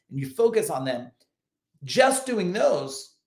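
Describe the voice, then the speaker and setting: A man speaks in a quiet background. Room echo is audible. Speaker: business coach. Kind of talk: motivational talk to camera. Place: home room. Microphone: webcam.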